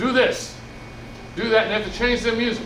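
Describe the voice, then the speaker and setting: A loud man speaks with audible room echo and noticeable background noise. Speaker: musician and community speaker. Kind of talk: presentation to seniors. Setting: room with senior audience. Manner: loud, projecting.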